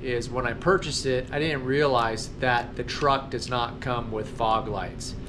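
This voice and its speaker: Fairly even intonation from a man amid noticeable background noise. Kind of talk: casual vlog chat. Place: garage. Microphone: phone near.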